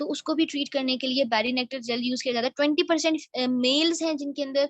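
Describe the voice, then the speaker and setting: A woman speaks at a moderate pace in a high pitch with ordinary pitch variation. The sound is dry and close, with no echo. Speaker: network marketing team leader. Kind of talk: online training session. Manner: explanatory, animated.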